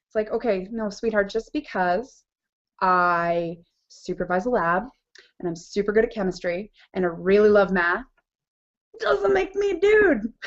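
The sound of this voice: A woman talks at a fairly slow pace with lively intonation. Her pitch sits in the medium range.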